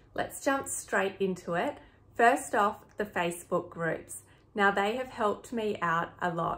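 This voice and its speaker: At a fairly slow pace, a woman with an Australian accent speaks at a medium pitch with ordinary pitch variation. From Sydney, Australia. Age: 30s. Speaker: flight attendant. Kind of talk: health vlog talk to camera.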